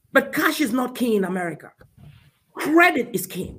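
A man's raised, projected voice at an extremely high pitch, bright and sharp in tone, with lively intonation at a moderate pace. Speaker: CPA and business consultant. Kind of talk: interview explaining finance.

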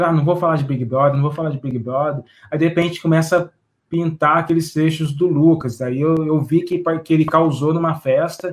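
A man speaks at a moderate pace in an ordinary speaking voice, fairly high in pitch, with fairly even intonation. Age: 30s. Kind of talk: casual discussion.

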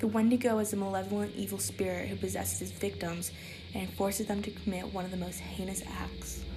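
Over music in the background, the speaker delivers lines in a serious tone at a fairly quick pace. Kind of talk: true-crime horror narration. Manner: serious, measured, informative.

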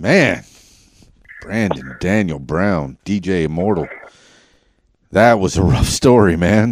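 A man with a Southern US accent and a very deep, low pitch, very slow pace, vocal fry, lively intonation and long, frequent pauses. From US South, Central Arkansas. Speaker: podcast host and DJ. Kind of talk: casual interview chat. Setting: studio. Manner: stutters; animated.

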